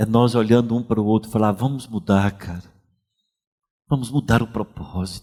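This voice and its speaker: A man at medium pitch speaks in a dark, mellow tone at a moderate pace on a very clean recording with a silent background. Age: 60s. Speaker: pastor. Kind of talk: sermon.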